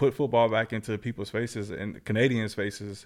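A man speaks in an unremarkable speaking voice at a fairly low pitch and moderate pace, in a very clean recording with a silent background. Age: 30s. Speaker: professional football player. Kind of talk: casual interview.

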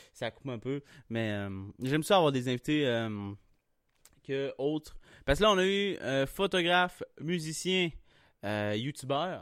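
This man speaks at a very slow pace in a Quebec accent, his fairly high pitch carrying lively intonation through long, frequent pauses, on a very clean recording with a silent background and a dry, close sound with no echo. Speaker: podcast host. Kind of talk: casual chat.

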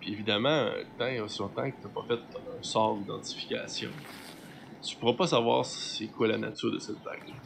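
There is noticeable background noise in this clip. Through it, a man talks at a moderate pace. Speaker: game master of a role-playing show. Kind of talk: tabletop role-play narration.

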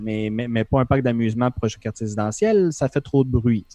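A man with a Quebec accent speaks in a dark, mellow tone with ordinary pitch variation, in a dry, close sound with no echo. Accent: Québécois French. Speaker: podcast co-host, gamer. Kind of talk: casual chat, game review.

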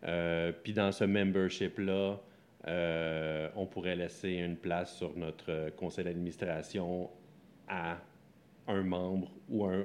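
A man talks at a fairly slow pace in a very deep, low voice with fairly even intonation. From Quebec, Sorel area. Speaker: co-founder of a coworking space. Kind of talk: interview.

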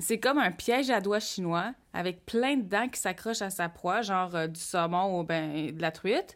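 At a fairly slow pace, a woman uses a normal speaking voice of medium pitch with ordinary pitch variation, on a very clean recording with a silent background. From Quebec North Shore, Innu community. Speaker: podcast co-host. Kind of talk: casual chat.

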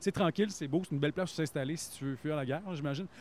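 This man's voice sits fairly high in pitch. His intonation is lively. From Quebec. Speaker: actor, author and radio announcer. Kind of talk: casual chat.

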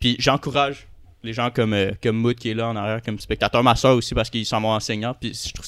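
Fast-ish delivery comes from a man at a fairly quick pace. His intonation is monotone and flat. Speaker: podcast guest. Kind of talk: casual chat.

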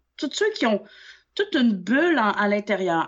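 A woman speaks in a Quebec accent at a fairly slow pace. Her pitch swings very widely. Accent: Québécois French. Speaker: nail technician and trainer. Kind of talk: casual chat. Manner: animated.

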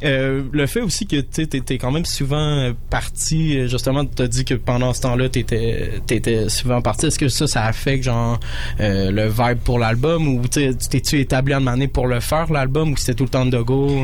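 A man with a medium-pitched voice speaks at a moderate pace with very even loudness and hardly any pauses, with audible room echo and noticeable background noise. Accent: Quebec. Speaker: radio host. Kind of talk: radio show hosting. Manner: animated.

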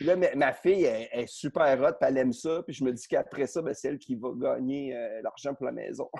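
Hardly pausing, a man talks at a fairly quick pace. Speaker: comedian. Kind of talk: casual chat. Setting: video call from his garage. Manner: loud.

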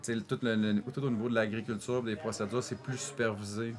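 Using a plain, everyday voice, a man talks at a moderate pace and medium pitch with fairly even intonation. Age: 40s. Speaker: coffee roaster. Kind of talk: casual chat. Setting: coffee shop workshop.

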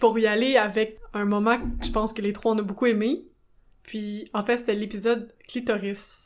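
With a Quebec accent, the speaker talks at a moderate pace with fairly even intonation. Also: woman, fairly high pitch for a woman. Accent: Québécois French. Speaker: podcast co-host, sexologist. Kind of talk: casual chat.

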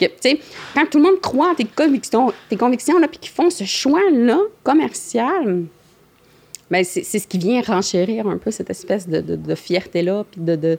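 A woman's fairly high voice with very wide pitch swings, at a very slow pace, over noticeable background noise. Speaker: blueberry producer and processor. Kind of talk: casual interview.

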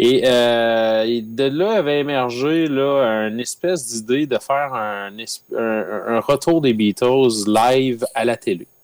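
A man's medium-pitched voice at a very slow pace, with hardly any pauses. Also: ordinary pitch variation. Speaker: podcast guest, music fan. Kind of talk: casual chat.

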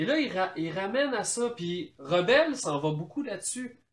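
A high-pitched man's voice with a Quebec accent, very wide pitch swings and a fairly slow pace. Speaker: podcast co-host. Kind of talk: casual chat.

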